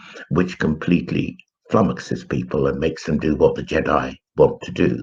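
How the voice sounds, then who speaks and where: With an English accent, a man speaks at a very deep, low pitch. His pitch variation is ordinary. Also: moderate pace. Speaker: spiritual commentator. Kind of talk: live stream monologue. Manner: hesitant, with fillers.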